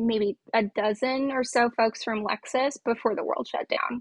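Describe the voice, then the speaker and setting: This is an unremarkable speaking voice from a woman with a fairly high pitch. She keeps a moderate pace and fairly even intonation. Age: 20s. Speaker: solutions consultant in fraud prevention. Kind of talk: casual interview.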